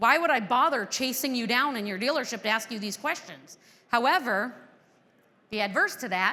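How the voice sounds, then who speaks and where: Loud and animated, a woman talks at a moderate pace with a high pitch, a bright, sharp tone and lively intonation, recorded very cleanly against a silent background. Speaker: conference presenter on dealership business. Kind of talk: conference talk. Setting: stage with audience.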